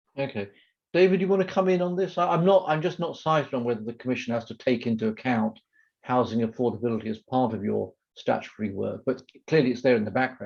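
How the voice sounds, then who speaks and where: A man with a British accent talks very fast at a medium pitch, his voice making very wide pitch swings. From Britain. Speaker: moderator, policy institute director. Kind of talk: moderating a panel webinar.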